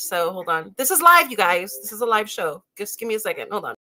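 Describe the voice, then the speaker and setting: Over music in the background, a woman speaks at a fairly quick pace with very wide pitch swings. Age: 40s. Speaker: live streamer building model kits. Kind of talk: casual live stream chat. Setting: live stream. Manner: hesitant, many fillers.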